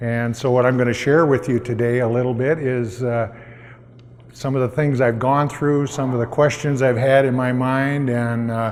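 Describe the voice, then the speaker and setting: Audible room echo surrounds a man's medium-pitched voice. He talks at a moderate pace with monotone, flat intonation. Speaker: nonprofit founder. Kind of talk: pitch presentation. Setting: stage with audience. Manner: hesitant, many fillers.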